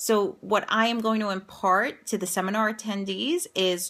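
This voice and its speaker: A woman with an American accent and a bright, sharp tone is heard in a very clean recording against a silent background. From New York, Staten Island. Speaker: educator and career coach. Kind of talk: promotional vlog. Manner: conversational, upbeat.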